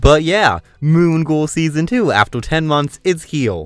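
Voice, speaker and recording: The recording is very clean, with a silent background. A man does the talking. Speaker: cartoon reviewer. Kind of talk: video review commentary. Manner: fast; loud.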